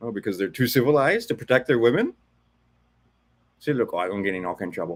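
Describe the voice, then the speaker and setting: Animated in tone, a man at medium pitch talks at a very fast pace with lively intonation. Long, frequent pauses break up his speech. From Hawaii. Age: 60s. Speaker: commentary streamer. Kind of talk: reaction commentary.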